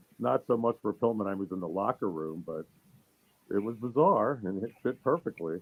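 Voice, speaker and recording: A man's fairly low pitch, ordinary pitch variation, moderate pace. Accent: Philadelphia. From US Northeast, Bucks County, Pennsylvania. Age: 60s. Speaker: former wrestling announcer. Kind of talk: casual interview chat.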